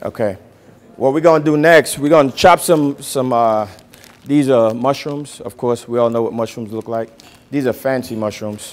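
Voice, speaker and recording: This man has a normal speaking voice and a medium pitch. He talks at a moderate pace, with ordinary pitch variation. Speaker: chef teaching a cooking class. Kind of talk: cooking class demonstration.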